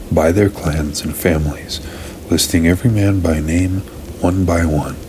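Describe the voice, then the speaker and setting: Against noticeable background noise, a man speaks at a very deep, low pitch. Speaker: Bible reader, ASMR channel host. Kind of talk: ASMR Bible reading, non-dramatized narration.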